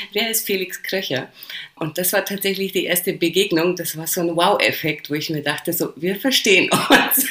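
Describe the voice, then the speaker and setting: A woman talks in a Polish accent at a medium pitch. Her pitch varies in an ordinary way, with noticeable background noise around her. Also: moderate pace. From Poland, then rural Lower Bavaria near Passau from age 9. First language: Polish (speaking German). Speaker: DJ. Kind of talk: casual interview chat.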